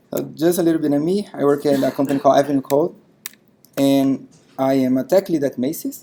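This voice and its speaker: A man with a Brazilian accent talks at a fairly quick pace in a fairly high pitch, his dark, mellow tone rising and falling with ordinary variation. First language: Portuguese. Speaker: software tech lead, conference speaker. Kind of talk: tech talk. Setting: meetup stage with audience.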